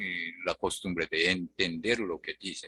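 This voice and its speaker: A man speaks at a fairly slow pace with a strong Japanese accent, recorded with a dry, close sound and no echo. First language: Japanese (speaking Spanish). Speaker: language teacher. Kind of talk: online tutoring lesson. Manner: hesitant with many fillers.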